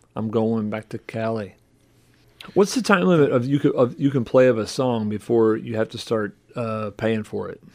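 Speaking at a moderate pace in a normal speaking voice, a man keeps a medium pitch with ordinary variation while his loudness swings widely. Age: 50s. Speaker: pastor. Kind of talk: casual chat.

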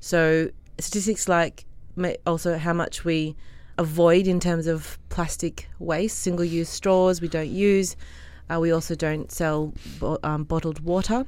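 A woman with an Australian accent speaks at a fairly slow pace in a fairly low voice with fairly even intonation. The recording is very clean and the background silent. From Australia, Sydney. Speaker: restaurant co-founder. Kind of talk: interview.

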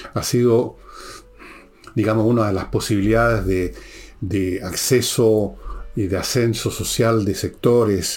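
In a Chilean accent, a man speaks at a fairly slow pace and medium pitch with fairly even intonation. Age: 70s. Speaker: podcast host and author. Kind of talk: political commentary monologue.

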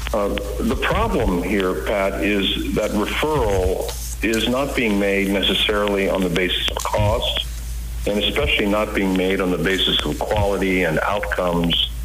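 A man with an American accent talks at a moderate pace, with audible room echo and noticeable background noise. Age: 60s. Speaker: surgeon. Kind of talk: interview.

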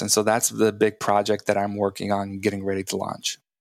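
A man with an American accent, fairly low-pitched, very fast and monotone with flat intonation, on a very clean recording against a silent background. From Texas. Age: 30s. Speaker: former pro football player. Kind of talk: casual chat.

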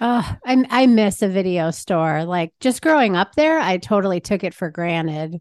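A woman's unremarkable speaking voice at a medium pitch and moderate pace. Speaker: podcast host. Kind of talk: casual interview chat.

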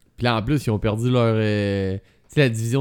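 A man's medium-pitched voice in a Quebec accent, with ordinary pitch variation, on a very clean recording with a silent background. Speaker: tech podcast co-host. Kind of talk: casual chat. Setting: studio with masks.

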